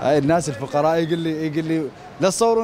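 A man talks at a fairly high pitch with ordinary pitch variation, and light background noise can be heard. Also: dry sound with no echo. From Iraq. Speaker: TV street-program presenter; TV presenter. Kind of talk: on-location field reporting and street chat. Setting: outdoors at a street market. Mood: warm, praising. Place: market. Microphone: handheld.

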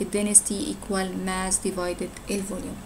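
Light background noise sits under the recording. A woman talks at a fairly quick pace. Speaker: science teacher. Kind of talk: lecture. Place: home room. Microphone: webcam.

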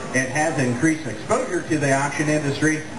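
A man with an American accent talks in a fairly high pitch over noticeable background noise. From Iowa, USA. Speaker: auctioneer, contest finalist. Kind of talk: interview answer. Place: stage. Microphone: pa.

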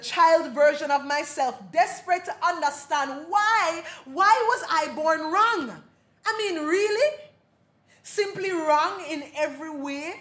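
At a very slow pace, a woman speaks at an extremely high pitch with lively intonation. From Jamaica. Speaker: dub poet, playwright-performer. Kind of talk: keynote address, performative lecture. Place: hall. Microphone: podium.

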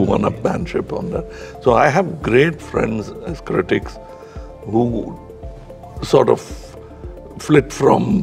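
Clear music runs in the background while a man speaks at a very slow pace with long, frequent pauses. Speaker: actor and producer. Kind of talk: interview answer.

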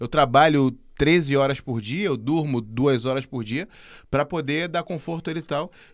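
A man with a fairly high pitch speaks, and the background stays quiet. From Brazil. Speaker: podcast host. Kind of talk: casual chat. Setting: studio. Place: studio. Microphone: studio mic.

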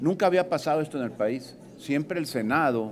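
A man's fairly high voice with lively intonation over light background noise. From Mexico, Veracruz. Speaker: senator, opposition party leader; senator. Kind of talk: press conference statement. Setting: press conference. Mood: critical, emphatic. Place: hall. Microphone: podium.

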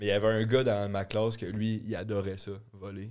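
Against a quiet background, a man speaks in a fairly low voice with monotone, flat intonation. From Quebec. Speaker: podcast co-host. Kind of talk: casual chat. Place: studio. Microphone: studio mic.

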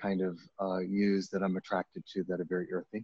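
A fairly low male voice, dry with no echo, over a quiet background. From US Northeast, Maine. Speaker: painter. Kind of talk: artist talk. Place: hall.

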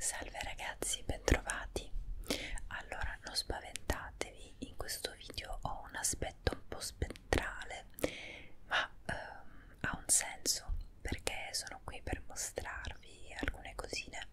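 A woman's very slow whispering, with big swings in loudness. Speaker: ASMR creator. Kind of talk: ASMR product show and tell. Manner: whispered. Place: home room. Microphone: earbuds.

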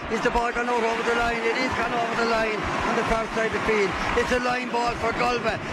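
Over loud background noise, a man with a Clare accent uses a raised, projected voice at an extremely high pitch. He speaks at a fairly slow pace, and the sound is dry with no echo. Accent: Irish, Clare. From Ireland. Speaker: radio sports commentator. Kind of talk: live sports commentary. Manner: urgent, tense, rising with each high ball. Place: booth.

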